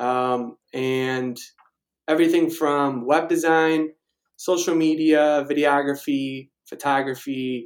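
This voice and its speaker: A man with a fairly high pitch keeps his intonation fairly even. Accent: Chicago. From Chicago suburbs, Illinois (Naperville). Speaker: digital marketing freelancer. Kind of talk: interview.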